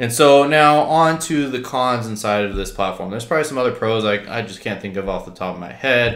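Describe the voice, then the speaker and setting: Against a quiet background with audible room echo, a man talks at a fairly quick pace with hardly any pauses. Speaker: real estate wholesaling vlogger. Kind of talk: casual vlog chat, software review. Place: home room.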